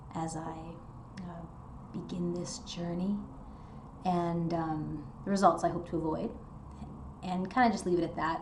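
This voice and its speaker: Against noticeable background noise, a woman talks slowly at a fairly low pitch in a monotone with flat intonation. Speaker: nonbinary person starting low-dose testosterone. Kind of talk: casual talk to camera. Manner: quiet, soft-spoken.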